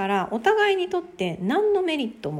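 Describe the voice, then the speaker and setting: At a moderate pace, a woman speaks in a plain, everyday voice with lively intonation. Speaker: podcaster. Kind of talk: solo talk.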